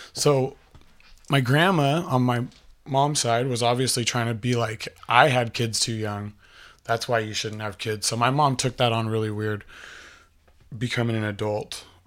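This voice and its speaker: On a very clean recording with a silent background, a man of medium pitch speaks at a moderate pace with fairly even intonation and long, frequent pauses. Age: 30s. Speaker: podcast host telling life story. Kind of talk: personal storytelling monologue. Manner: casual, rambling with many fillers.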